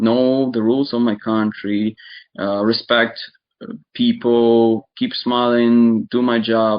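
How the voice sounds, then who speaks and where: A man talks at a very slow pace in an Eastern European accent. His medium-pitched voice stays monotone and flat. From Ukraine (born in Donetsk region). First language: Russian. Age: 20s. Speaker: interviewee describing war experience. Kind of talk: casual chat. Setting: online video chat.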